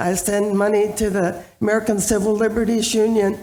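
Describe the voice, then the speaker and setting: Audible room echo hangs around this voice. The woman's pitch sits fairly high. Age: 80s+. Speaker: audience member asking a question. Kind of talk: audience question. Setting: church hall with live audience.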